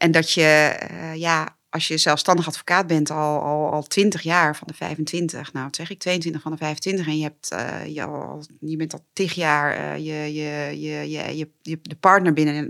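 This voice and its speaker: A woman speaks at a very deep, low pitch with monotone, flat intonation and a very slow pace. It is a very clean recording with a silent background. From Netherlands, Twente (Borne). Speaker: judge, former defense lawyer. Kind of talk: interview conversation. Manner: hesitant with fillers and repetitions.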